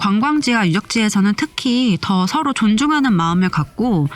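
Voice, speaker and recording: With music in the background, a woman talks in very wide pitch swings. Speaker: travel vlogger. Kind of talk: vlog narration voiceover. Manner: friendly conversational.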